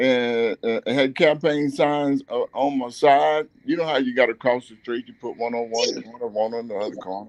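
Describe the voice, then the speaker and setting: A man speaks at medium pitch and a moderate pace with ordinary pitch variation and hardly any pauses, the sound dry and close with no echo. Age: 60s. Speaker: community activist and former navy officer. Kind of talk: radio interview, personal story. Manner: halting, many fillers and repeats; animated, emotional.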